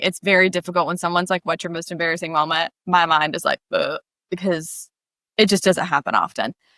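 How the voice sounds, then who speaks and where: A loud woman's voice with fairly low pitch and a bright, sharp tone, in a dry, close sound with no echo and a very clean recording over a silent background. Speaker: podcast host. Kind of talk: casual chat. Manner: animated.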